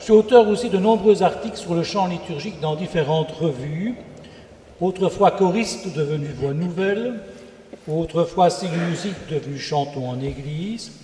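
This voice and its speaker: Over noticeable background noise, a man with a Belgian accent speaks at a moderate pace, his fairly high voice carrying lively intonation. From Belgium. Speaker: church organist and composer. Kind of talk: self-introduction on a panel.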